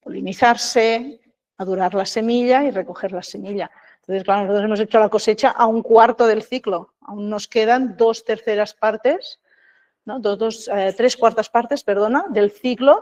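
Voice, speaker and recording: A woman talks at a moderate pace and a fairly high pitch, her intonation fairly even, in a dry, close sound with no echo. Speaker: seed production trainer. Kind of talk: workshop lecture. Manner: halting with repetitions.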